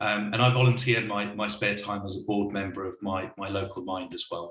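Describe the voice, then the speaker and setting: This man speaks at a fairly quick pace with a monotone, flat intonation. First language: not English. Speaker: wellbeing consultancy leader. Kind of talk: panel discussion. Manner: hesitant, repeats words.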